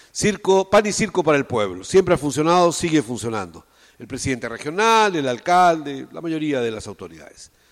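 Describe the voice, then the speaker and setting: A man talks fairly quickly at a fairly high pitch. His pitch swings very widely, and his loudness rises and falls sharply. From Peru, Tacna. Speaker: theatre director and teacher. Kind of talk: interview.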